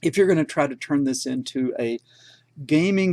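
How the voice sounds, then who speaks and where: In a strong Texan accent, the speaker has a dark, mellow tone, ordinary pitch variation and a moderate pace, with a dry, close sound with no echo. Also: man. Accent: Texan, self-described as strong. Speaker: tech educator and teacher. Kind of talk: livestream Q&A and product review. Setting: live stream. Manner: casual, filler-heavy (uh, okay).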